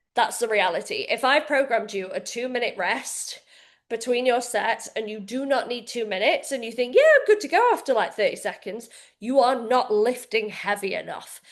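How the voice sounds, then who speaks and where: High-pitched, a woman speaks against a quiet background. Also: ordinary pitch variation. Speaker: fitness coach. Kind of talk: live coaching session for members. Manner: fast.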